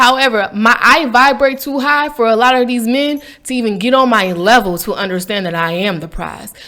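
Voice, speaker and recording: A woman's raised, projected voice, animated, with a bright, sharp tone. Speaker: vlogger, faith and lifestyle channel host. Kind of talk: casual monologue rant.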